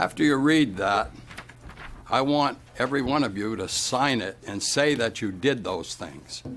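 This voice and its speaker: Over noticeable background noise, a man talks fairly slowly with lively intonation. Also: medium pitch for a man. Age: 80s+. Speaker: resident speaking at public comment. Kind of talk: heated debate. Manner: animated.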